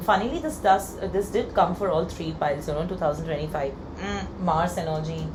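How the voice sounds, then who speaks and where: Noticeable background noise and audible room echo surround a woman speaking at a fairly quick pace. Her voice is fairly low, with ordinary pitch variation. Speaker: tarot card reader. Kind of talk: pick-a-card tarot reading. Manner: casual, filler-heavy.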